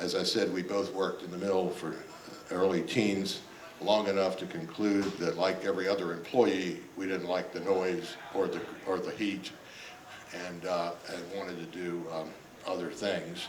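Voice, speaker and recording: A man with an American accent, very deep and low in pitch, monotone and flat, at a moderate pace, with audible room echo and noticeable background noise. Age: 70s. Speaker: retired judge. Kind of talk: public talk. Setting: stage with audience. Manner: halting, many fillers.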